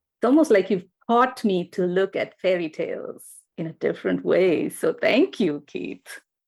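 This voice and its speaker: In a very clean recording with a silent background, a woman with an Indian accent speaks at a moderate pace. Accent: Indian pronunciation. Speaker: podcast host. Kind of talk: casual interview chat. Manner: hesitant, many fillers.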